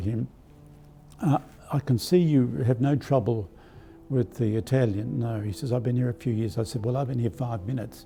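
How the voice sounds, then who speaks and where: At a moderate pace, a man with an Australian accent speaks at a medium pitch with ordinary pitch variation. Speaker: archbishop. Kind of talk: spiritual talk. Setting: live stream. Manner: halting.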